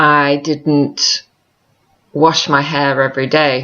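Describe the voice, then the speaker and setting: A woman with an American accent, very deep and low in pitch, monotone and flat. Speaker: vlogger. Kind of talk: personal video diary. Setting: log cabin. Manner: reflective, halting.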